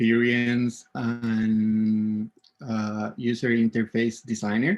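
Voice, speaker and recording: Speaking with a Spanish accent, the man holds a medium pitch. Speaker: event host, UX designer. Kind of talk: conference session introduction. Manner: halting, many fillers.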